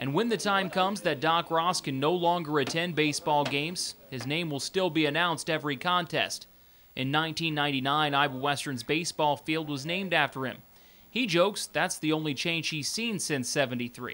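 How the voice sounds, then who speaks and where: In a plain, everyday voice, a man talks at a fairly quick pace with fairly high pitch and ordinary pitch variation, recorded very cleanly against a silent background. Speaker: sports TV host. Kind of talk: local TV sports news narration.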